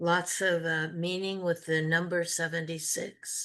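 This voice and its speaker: A woman speaks with a fairly low pitch. The background is quiet. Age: 70s. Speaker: community call participant. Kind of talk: reading aloud. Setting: video call.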